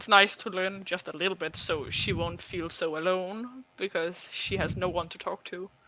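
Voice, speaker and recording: Over noticeable background noise, a man with a non-native accent and a high pitch talks at a fairly slow pace in a monotone, flat intonation. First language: not English. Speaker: cosplayer. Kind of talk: casual chat.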